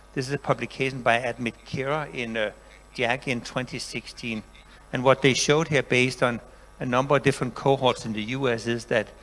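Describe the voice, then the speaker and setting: Delivered at a fairly quick pace, the speech has monotone, flat intonation. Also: man, medium pitch for a man. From Denmark. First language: Danish. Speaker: professor. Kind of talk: lecture.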